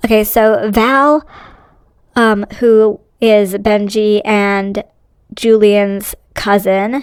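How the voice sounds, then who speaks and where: Very slowly, a woman speaks at a fairly high pitch with monotone, flat intonation. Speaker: YouTube drama commentator. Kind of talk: casual commentary reading a post. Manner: hesitant with fillers.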